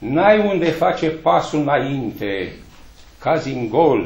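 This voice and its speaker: At a very slow pace, a man with a fairly high pitch speaks with vocal fry amid audible room echo. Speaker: poet reading at a book launch. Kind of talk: poetry reading at a book launch, with a brief polite greeting first. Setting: library event with audience. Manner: formal, measured, declamatory. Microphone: camera far.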